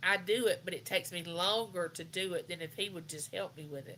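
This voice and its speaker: A woman's bright, sharp tone in a Southern US accent, with fairly even intonation. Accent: US South. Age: 60s. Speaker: live chat host. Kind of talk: casual chat. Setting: livestream.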